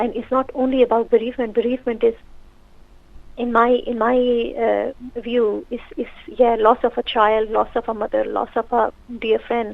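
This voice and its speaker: In a Pakistani accent, a woman with a high pitch speaks in a monotone, flat intonation, pausing long and often. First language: Urdu. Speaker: social worker and counsellor, author. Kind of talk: radio interview.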